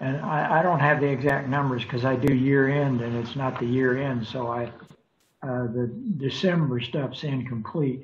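Speech comes at a moderate pace with fairly even intonation. Light background noise is present. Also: man. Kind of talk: meeting report. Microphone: video call.

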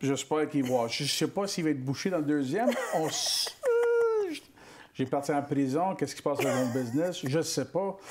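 Over light background noise, a man with a fairly high pitch talks at a moderate pace with ordinary pitch variation. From Quebec, Montreal area; Quebec. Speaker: actor. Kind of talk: interview. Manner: halting. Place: studio. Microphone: lapel.

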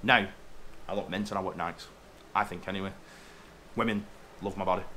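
Over light background noise, a man speaks very fast in a bright, sharp tone. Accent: English. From England. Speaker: truck driver vlogger. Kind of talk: casual rant to camera. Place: home room. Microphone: webcam.

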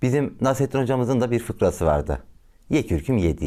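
Reading aloud in a natural voice, full of lively intonation

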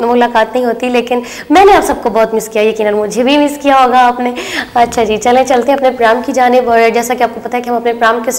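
The woman's pitch is high. Her intonation stays fairly even. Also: moderate pace. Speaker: TV show host. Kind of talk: TV presenter talk to viewers. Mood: warm, friendly. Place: studio. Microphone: lapel.

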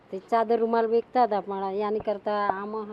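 A woman speaks at a medium pitch in a flat, monotone way. Noticeable background noise sits behind her. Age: 50s. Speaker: street food cook. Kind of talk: interview.

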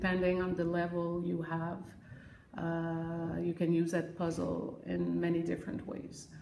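In a Quebec accent, a woman talks at a fairly slow pace in a fairly low pitch with monotone, flat intonation. Light background noise and audible room echo are present. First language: French. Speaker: elementary ESL teacher. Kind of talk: interview testimony; classroom instruction. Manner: halting with many fillers. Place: classroom. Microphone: phone near.

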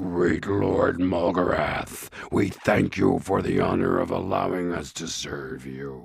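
Putting on a character voice, a woman speaks at a very deep, low pitch. She goes at a fairly slow pace with hardly any pauses. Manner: nervous, fawning.

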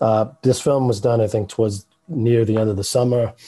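A man with a New York accent speaks at a moderate pace in a dark, mellow, somewhat breathy tone with monotone, flat intonation on a very clean recording with a silent background. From New York City, The Bronx. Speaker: animator, filmmaker. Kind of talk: interview answer.

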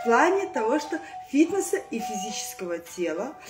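A woman talks at a moderate pace in a high voice. Clear music plays in the background. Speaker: fitness instructor. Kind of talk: casual vlog chat. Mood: cheerful, playful. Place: home room. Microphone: phone near.

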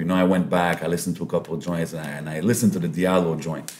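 Through loud background noise, a man with a very deep, low pitch talks very fast. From Lebanon. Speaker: podcast host and MC; podcast host, MC. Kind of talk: casual interview chat. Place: meeting room. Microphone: studio mic.

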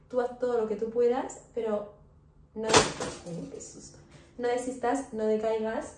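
A woman speaks at a fairly slow pace with fairly even intonation. Audible room echo and noticeable background noise surround her voice. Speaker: vlogger. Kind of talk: casual vlog chat. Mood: warm, encouraging. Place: kitchen. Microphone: phone near.

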